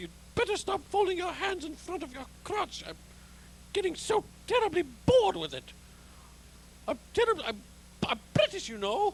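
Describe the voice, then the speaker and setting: In a put-on character voice pitched extremely high, the speaker goes at a moderate pace with long, frequent pauses over clear background noise. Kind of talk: comic overdub parody. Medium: fan dub. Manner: whiny, complaining, self-mocking.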